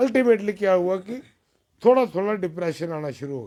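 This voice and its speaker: A man speaks in a high register for a man. His tone is dark and mellow. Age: 60s. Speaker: former party worker, local politician. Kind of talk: interview.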